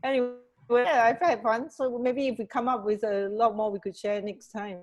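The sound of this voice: At a moderate pace, a woman talks with a fairly high pitch and fairly even intonation. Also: slightly mellow tone.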